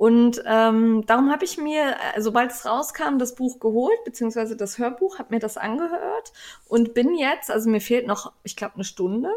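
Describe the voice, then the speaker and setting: A woman talks at a moderate pace. Her voice is high in pitch. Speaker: podcast host, knitting blogger. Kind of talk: casual chat.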